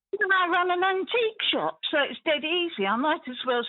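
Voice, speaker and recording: Her pitch swinging very widely, a woman keeps to a moderate pace. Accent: southern English. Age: 80s+. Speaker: caller, antique shop owner. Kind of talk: phone-in chat. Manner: enthusiastic.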